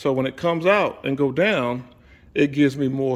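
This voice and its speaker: A man's medium-pitched voice with ordinary pitch variation, on a very clean recording with a silent background. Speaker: DIY car builder, video host. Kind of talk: workshop tutorial. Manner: casual, halting with self-corrections.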